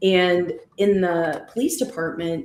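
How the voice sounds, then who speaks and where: A woman with an American accent talks at a medium pitch with ordinary pitch variation. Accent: Chicago accent, comes out sometimes. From US Midwest, Chicago. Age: 40s. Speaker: former police officer turned life coach and astrologer. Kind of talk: casual interview chat.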